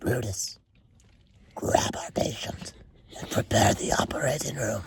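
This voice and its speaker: Whispering in a raspy, put-on character voice, a man speaks at a moderate pace. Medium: read story. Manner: whispering, cold.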